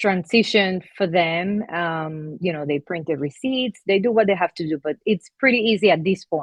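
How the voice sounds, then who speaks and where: With a Spanish accent, a woman with a fairly low pitch speaks at a moderate pace and with lively intonation. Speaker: laundromat owner. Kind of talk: testimonial interview. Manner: halting, with fillers.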